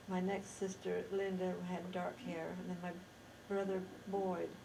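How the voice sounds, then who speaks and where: Speaking fairly slowly at a medium pitch, a woman with an American accent is heard over noticeable background noise, with audible room echo. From Idaho, US (Rexburg). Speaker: interviewee recounting life history. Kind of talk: oral history interview. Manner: halting, with self-corrections.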